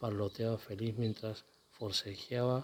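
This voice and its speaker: Soft-spoken and at a very slow pace, a man talks in a medium pitch with fairly even intonation. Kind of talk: read story.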